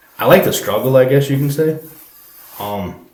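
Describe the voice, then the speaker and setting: A man talking fairly quickly, with audible room echo. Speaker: fisherman. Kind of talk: podcast interview. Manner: halting.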